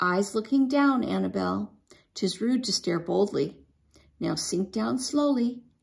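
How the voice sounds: The speaker uses a natural reading voice. It carries through the whole clip.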